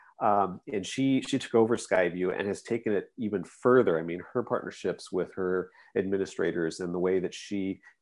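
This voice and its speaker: Over a quiet background, a man speaks fairly quickly at a fairly low pitch with ordinary variation in pitch. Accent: American. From US Pacific Northwest, Vancouver, Washington. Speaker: librarian and school administrator. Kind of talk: casual interview. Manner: halting, many fillers.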